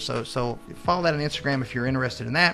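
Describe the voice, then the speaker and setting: Over music in the background, a man with a Southern US accent talks at a very fast pace with ordinary pitch variation. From Oklahoma. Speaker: professor and author. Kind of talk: radio interview. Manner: hesitant, many fillers and repetitions.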